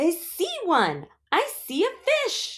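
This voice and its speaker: This female-sounding put-on character voice is squeaky and extremely high in pitch for a woman. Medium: read story. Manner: naive, cheerful, literal.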